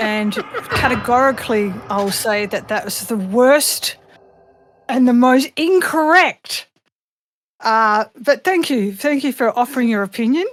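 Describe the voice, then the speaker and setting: In an Australian accent, a woman with a high pitch and lively intonation speaks at a fairly slow pace on a very clean recording with a silent background. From Australia, Perth. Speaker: voice actress and singer. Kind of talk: casual podcast interview. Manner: animated.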